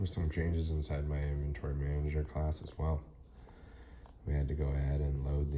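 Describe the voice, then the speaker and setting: Noticeable background noise sits behind a man whose very deep, low voice stays monotone and flat. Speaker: student. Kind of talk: tutorial. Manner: fast.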